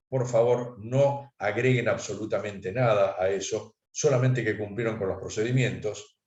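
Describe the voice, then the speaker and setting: A man with an unremarkable speaking voice talks at a medium pitch and a moderate pace, with ordinary pitch variation. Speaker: accountant giving a talk. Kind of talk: lecture.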